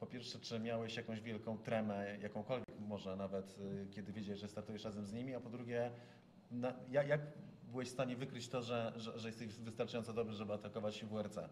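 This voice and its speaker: Speaking at a very fast pace, a man keeps a monotone, flat intonation over light background noise. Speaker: motorsport journalist. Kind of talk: interview. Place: meeting room.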